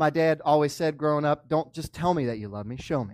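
In a very clean recording with a silent background, a man talks at a fairly quick pace with a fairly high pitch and ordinary pitch variation. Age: 30s. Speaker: pastor. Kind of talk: sermon. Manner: animated.

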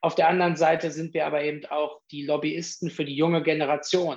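At a moderate pace, a man with a fairly high pitch talks in an unremarkable speaking voice. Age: 30s. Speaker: politician, youth organisation leader. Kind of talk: interview.

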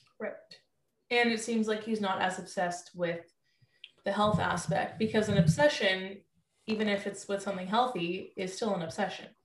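A woman with a medium pitch and a somewhat breathy voice speaks at a moderate pace with fairly even intonation and long, frequent pauses. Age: 20s. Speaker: nutritionist. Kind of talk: casual chat.

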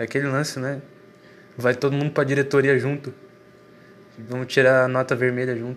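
A man talks at a moderate pace and a medium pitch, his intonation flat and monotone. He leaves long, frequent pauses. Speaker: solo monologue recorder. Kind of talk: rambling personal monologue. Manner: halting, repeats words.

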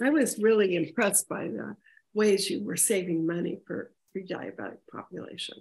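Speaking at a moderate pace, a woman shows vocal fry at a medium pitch, with ordinary pitch variation. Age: 70s. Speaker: podcast co-host. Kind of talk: podcast interview.

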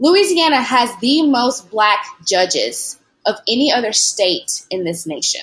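An American-accented woman speaks at a high pitch with very wide pitch swings and a fairly slow pace. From US South, Tennessee (Lewisburg). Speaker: law student. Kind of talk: interview.

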